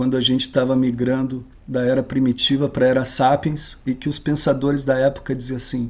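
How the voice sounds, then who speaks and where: Speaking at a moderate pace with hardly any pauses, a man uses a medium pitch and monotone, flat intonation. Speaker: lecturer. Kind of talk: lecture.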